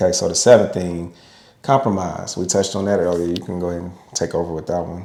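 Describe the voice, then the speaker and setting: A man talks very fast in a very deep, low voice with a dark, mellow tone. His loudness swings widely, and room echo is audible. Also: fairly even intonation. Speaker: podcast co-host with his wife. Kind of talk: casual podcast discussion. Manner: occasional stutter.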